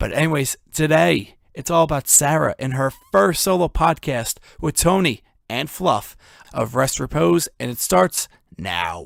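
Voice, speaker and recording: A man speaks at a fairly high pitch with vocal fry and very wide pitch swings. The sound is dry and close, with no echo. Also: fairly slow pace, very clean recording, silent background. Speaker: podcast host. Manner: casual, joking.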